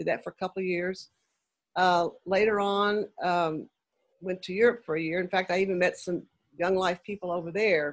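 A woman speaks at a moderate pace with a medium pitch and a monotone, flat intonation. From Kentucky, Lexington. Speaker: ministry founder, retired teacher. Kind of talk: casual interview. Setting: video call.

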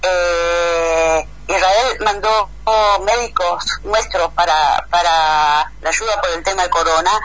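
A woman at a very slow pace, fairly low pitch and fairly even intonation. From Argentina, Entre Ríos. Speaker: agronomist, letter writer. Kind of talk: interview.

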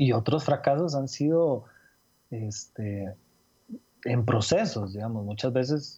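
A man's medium-pitched, somewhat breathy voice with a dark, mellow tone, ordinary pitch variation, and a very slow pace. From Costa Rica (Cartago). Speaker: illustrator. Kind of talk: interview conversation. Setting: call.

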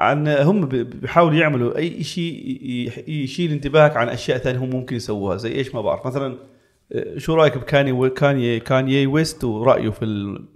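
Medium-pitched male voice, an ordinary speaking voice with ordinary pitch variation and a moderate pace. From Palestine. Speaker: tech content creator. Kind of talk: casual chat.

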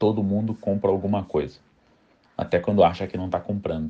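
A man speaks with a dark, mellow tone. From São Paulo city, south zone, Brazil. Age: 30s. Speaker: marketing professional. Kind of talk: interview.

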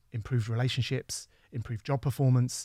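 With an English accent, a man speaks somewhat breathily at a fairly quick pace, his intonation fairly even, on a very clean recording with a silent background. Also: dry, close sound with no echo. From England. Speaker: university dean and professor. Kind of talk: casual interview. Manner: halting.

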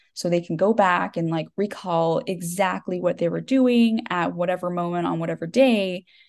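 Against a quiet background, a woman with a Texan accent speaks at a fairly slow pace and a fairly low pitch. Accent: Texan American. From Texas. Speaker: debut novelist. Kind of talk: podcast interview.

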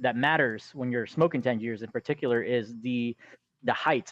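Using an ordinary speaking voice, a man talks at a fairly quick pace with a medium pitch and fairly even intonation. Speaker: forum admin.

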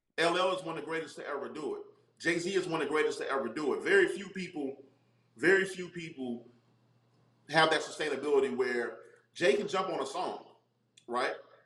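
With audible room echo, a man with a high-pitched voice and ordinary pitch variation talks at a fairly quick pace broken by long, frequent pauses. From North Carolina. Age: 40s. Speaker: actor and comedian. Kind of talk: casual interview.

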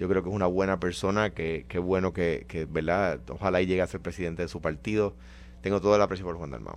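With vocal fry and a very deep, low pitch, a man talks at a very fast pace, his pitch varying in an ordinary way. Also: quiet background. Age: 50s. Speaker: radio show panelist. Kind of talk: heated debate.

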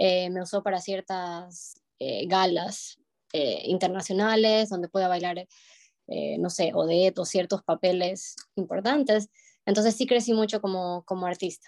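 A woman talks slowly-ish, at a fairly slow pace, in a plain, everyday voice of medium pitch with fairly even intonation, the sound dry and close with no echo. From Ecuador, Guayaquil. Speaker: ballet dancer. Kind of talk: interview.

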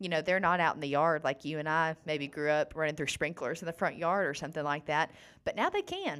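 A woman with an Alabama accent speaks at a fairly quick pace in a very deep, low pitch, with monotone, flat intonation. The recording is very clean, with a silent background. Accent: Southern US (Alabama). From US South, northern Alabama. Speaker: nonprofit clean water program staff. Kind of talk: casual interview. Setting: podcast studio.

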